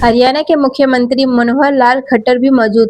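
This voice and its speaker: High pitch from a woman, with noticeable background noise. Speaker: news presenter. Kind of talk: news story narration.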